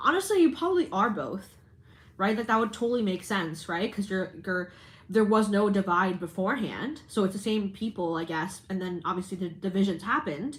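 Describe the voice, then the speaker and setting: A woman speaks at a fairly quick pace and medium pitch. Her voice is somewhat breathy, with ordinary pitch variation. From Canada. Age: 20s. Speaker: live streamer. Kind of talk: casual chat. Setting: livestream. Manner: chatty, many fillers and restarts.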